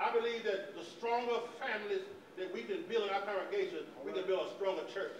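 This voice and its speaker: A man speaks with very wide pitch swings. Noticeable background noise and audible room echo surround him. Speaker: preacher. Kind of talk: sermon. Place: church.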